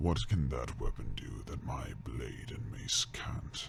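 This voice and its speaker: A growling put-on character voice from a man, very deep and low, at a fairly slow pace. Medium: audio drama.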